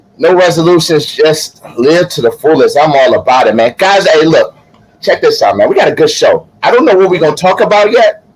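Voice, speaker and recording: A man at a fairly quick pace, with very even loudness and noticeable background noise. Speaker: live show co-host. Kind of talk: casual chat.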